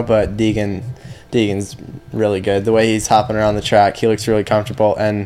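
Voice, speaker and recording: Noticeable background noise beneath a fairly quick pace. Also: man. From Michigan. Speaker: motocross racer. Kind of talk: casual interview.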